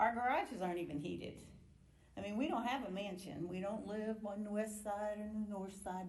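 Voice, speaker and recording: A woman with an American accent speaks at a moderate pace in a dark, mellow, somewhat breathy tone. Room echo can be heard. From US Midwest, Indianapolis area. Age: 70s. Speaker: retired nurse, member of the public. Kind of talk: public hearing testimony. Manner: animated.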